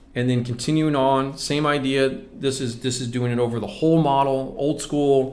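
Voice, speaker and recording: There is audible room echo around a man's voice. His intonation is fairly even. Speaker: scale model painting instructor. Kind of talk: live stream tutorial. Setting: live stream. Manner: casual, fast, self-correcting.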